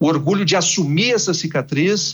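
Using a normal speaking voice, a man talks at a moderate pace with ordinary pitch variation. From Brazil, Rio Grande do Sul (Santa Maria). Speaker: TV journalist. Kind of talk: radio interview.

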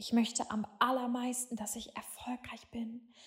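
Speaking at a fairly slow pace, a woman has a gentle, warm tone and a high pitch. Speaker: meditation guide. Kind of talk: guided meditation. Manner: slow, soft and soothing, with long calming pauses; gentle, warm and hypnotic, with affirmations in the first person.

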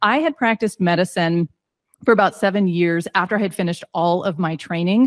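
A woman with an unremarkable speaking voice, medium pitch and ordinary pitch variation talks at a fairly quick pace, with a dry, close sound with no echo on a very clean recording with a silent background. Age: 40s. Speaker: points travel coach, former physician. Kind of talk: casual interview.

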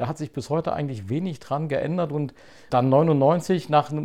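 With a dark, mellow tone and a fairly high pitch, a man talks at a fairly quick pace. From Saxony-Anhalt, eastern Germany (Zeitz). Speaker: podcast host, lawyer and politician. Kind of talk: casual chat.

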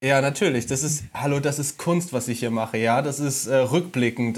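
At a moderate pace, a man talks at a medium pitch in an unremarkable speaking voice, with ordinary pitch variation. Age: 20s. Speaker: podcast co-host, former flatmate. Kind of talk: casual chat.

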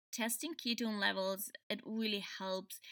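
A woman with a German accent, fairly high in pitch and bright, sharp in tone, at a very slow pace on a very clean recording with a silent background. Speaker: podcast host. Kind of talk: solo podcast explainer. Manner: halting, many fillers.

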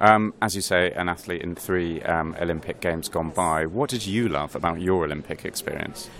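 Against noticeable background noise, a man with a very deep, low pitch talks with hardly any pauses and ordinary pitch variation. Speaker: podcast host and sports editor. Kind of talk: interview. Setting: conference venue.

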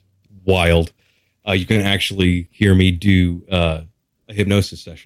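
A man's very deep, low voice with an American accent, flat and monotone, at a fairly slow pace with long, frequent pauses. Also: big swings in loudness. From Texas. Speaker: hypnotherapist. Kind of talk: interview.

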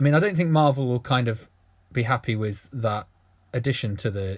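On a very clean recording with a silent background, a man with a medium pitch and a somewhat breathy voice talks at a fairly quick pace with ordinary pitch variation. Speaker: podcast host. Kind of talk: casual chat.

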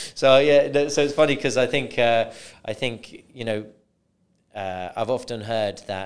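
A man is speaking. He has a British accent. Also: very clean recording, silent background. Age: 30s. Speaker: podcast host. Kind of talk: interview. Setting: studio.

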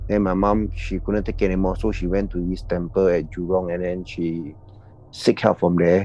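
In a Singaporean accent, a man speaks with a very deep, low pitch, a dark, mellow tone and a monotone, flat intonation. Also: moderate pace. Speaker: anonymous confessor. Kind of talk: casual storytelling of personal encounters. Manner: casual, chatty.

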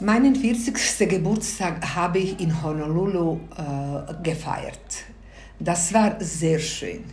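Very slow speech with ordinary pitch variation. Room echo can be heard. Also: woman, fairly low pitch for a woman. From Bosnia. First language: Bosnian (speaking German). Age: 60s. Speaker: grandmother interviewee. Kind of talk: interview.

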